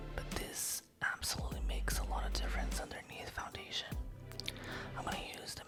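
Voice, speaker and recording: A woman whispering in a calm tone at a moderate pace, with music in the background. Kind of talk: ASMR makeup tutorial, soft-spoken. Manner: soft-spoken, calm.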